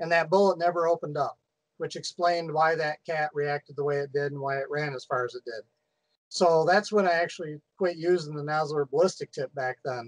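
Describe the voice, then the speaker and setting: Fairly quick speech in an American accent, with fairly even intonation and a dry, close sound with no echo. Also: man. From US Midwest. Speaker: coyote hunter. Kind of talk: casual chat.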